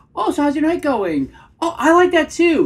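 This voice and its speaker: Putting on a squeaky character voice, a woman speaks at an extremely high pitch with ordinary pitch variation and a moderate pace. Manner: eager.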